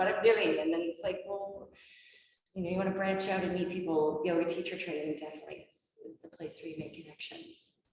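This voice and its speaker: At a fairly quick pace, a woman speaks in a fairly low, monotone voice with flat intonation and big swings in loudness. Audible room echo surrounds her. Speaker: yoga teacher trainer. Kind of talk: info session Q&A.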